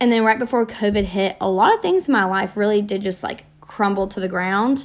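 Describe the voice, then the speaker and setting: Here a woman uses a plain, everyday voice. She speaks at medium pitch and a fairly quick pace. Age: 20s. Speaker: podcast host. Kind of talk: solo reflective monologue. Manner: casual, many fillers.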